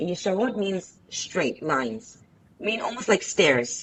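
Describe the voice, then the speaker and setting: A woman speaks with an Israeli accent. Her pace is fairly slow. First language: Hebrew. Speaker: interview guest. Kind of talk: casual interview conversation.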